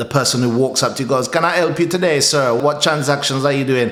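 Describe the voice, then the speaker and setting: Amid noticeable background noise, a man with an English accent speaks fairly quickly with ordinary pitch variation. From England. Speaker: self-improvement commentator for men. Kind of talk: casual talk to camera.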